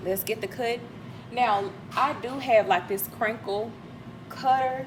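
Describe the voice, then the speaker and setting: Speech comes at a fairly slow pace with fairly even intonation. There is noticeable background noise. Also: woman, fairly high pitch for a woman. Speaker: lifestyle vlogger. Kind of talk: casual vlog narration while cooking. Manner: casual, conversational.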